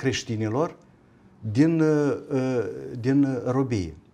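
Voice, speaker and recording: A man's dark, mellow voice at a very slow pace with lively intonation. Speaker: university rector. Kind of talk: panel discussion on TV. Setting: studio. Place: studio. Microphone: lapel.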